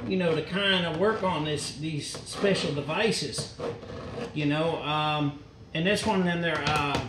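A man at a fairly slow pace with ordinary pitch variation, over noticeable background noise. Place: workshop.

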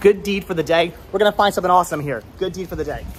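A man rattles along at a very fast pace, with light background noise present. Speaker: vlogger. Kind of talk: casual vlog chat. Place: street. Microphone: phone near.

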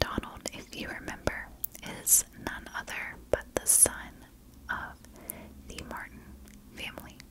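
At a fairly slow pace, a woman whispers. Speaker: true crime narrator. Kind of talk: storytelling narration. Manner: soft, hushed close-mic ASMR voice. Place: home room. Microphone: studio mic.

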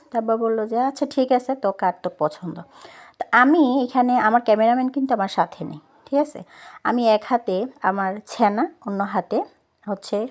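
A woman speaks in a plain, everyday voice, pitched fairly high with lively intonation. The recording is very clean, with a silent background. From Noakhali, Bangladesh. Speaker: vlogger. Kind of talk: vlog narration.

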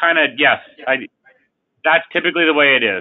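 Against a quiet background, a man is talking. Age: 40s. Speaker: life insurance company CEO. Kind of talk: webinar presentation. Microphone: video call.

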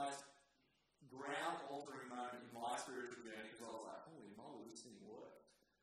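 A man's voice in strong room echo over light background noise. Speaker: pastor presenting to young adults. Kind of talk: sermon.

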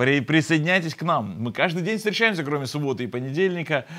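The background is quiet as a man speaks. His intonation is lively. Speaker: pastor hosting online broadcast. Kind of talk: sermon. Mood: warm, smiling, friendly. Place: studio. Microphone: lapel.

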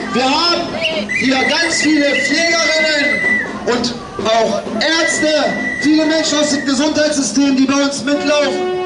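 Clear music plays in the background as a man speaks at a fairly slow pace, leaving long, frequent pauses. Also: ordinary pitch variation. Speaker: speaker. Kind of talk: rally speech. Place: street.

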